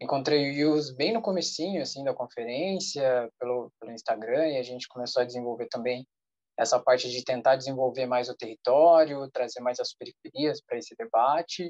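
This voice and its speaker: This man has a plain, everyday voice of medium pitch, moving at a moderate pace with ordinary pitch variation in a dry, close sound with no echo. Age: 20s. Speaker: social entrepreneur. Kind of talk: self-introduction in online meeting.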